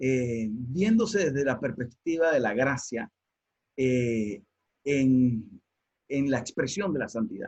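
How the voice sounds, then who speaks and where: A man speaks with a Panamanian accent. His voice is somewhat breathy. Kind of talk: online teaching talk.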